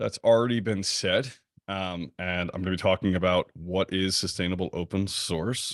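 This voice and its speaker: The background is quiet. Speech moves along at a fairly quick pace. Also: man. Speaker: keynote speaker, open source consultant. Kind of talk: conference keynote talk.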